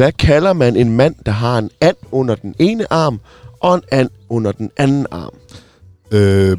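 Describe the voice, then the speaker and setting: Speaking at a very slow pace with lively intonation, a man is heard in a dry, close sound with no echo. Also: medium pitch for a man. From Denmark, Sønderborg. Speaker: radio host. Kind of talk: casual chat. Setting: in a bus.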